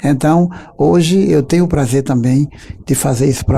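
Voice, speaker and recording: A man with a fairly high pitch speaks at a moderate pace, his pitch varying in an ordinary way, as noticeable background noise runs underneath. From Brazil, Paraíba (Campina Grande area). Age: 50s. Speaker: accordionist and composer. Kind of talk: interview.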